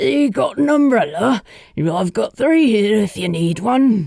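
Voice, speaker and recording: This put-on character voice is raspy and fairly high, with very wide swings in pitch. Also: fairly slow pace. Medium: read story. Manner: warm, easygoing, knowingly positive.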